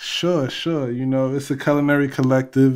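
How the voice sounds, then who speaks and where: Speaking slowly in a New York accent, a man keeps a monotone, flat intonation in a very clean recording with a silent background. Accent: Bronx, New York. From the Bronx, New York. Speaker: guest calling in, culinary collective co-founder. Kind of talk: casual, slangy.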